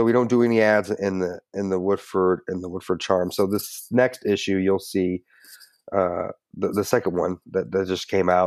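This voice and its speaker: Recorded very cleanly against a silent background, a man with an American accent and a very deep, low voice speaks at a moderate pace with fairly even intonation. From Kentucky. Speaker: marketer and marine veteran. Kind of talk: interview conversation. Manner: halting, many fillers and restarts.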